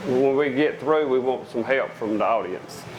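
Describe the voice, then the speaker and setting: Against noticeable background noise, a man with a Southern US accent speaks at a moderate pace and medium pitch. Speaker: farmer. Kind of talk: public talk.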